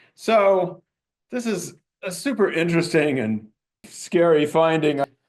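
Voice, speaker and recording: In an American accent, a man speaks at a fairly slow pace with ordinary pitch variation amid audible room echo. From US, Montana. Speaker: anthropology professor. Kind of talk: lecture.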